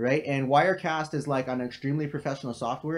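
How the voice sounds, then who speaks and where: A man talks at a fairly quick pace with fairly even intonation, and the background is quiet. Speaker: crypto trading analyst streamer. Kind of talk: live stream Q&A. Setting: home live stream, living room. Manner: casual with many fillers.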